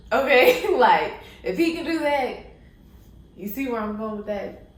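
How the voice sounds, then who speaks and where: A woman talks at a fairly slow pace with lively intonation, over noticeable background noise and audible room echo. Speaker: YouTuber giving life advice. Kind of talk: casual vlog monologue.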